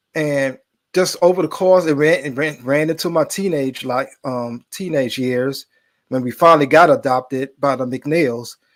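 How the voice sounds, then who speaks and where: With an American accent, a man talks at a moderate pace in a fairly high voice with ordinary pitch variation, an unremarkable speaking voice on a very clean recording with a silent background. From Brooklyn, New York. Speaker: filmmaker, army veteran. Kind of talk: interview testimony.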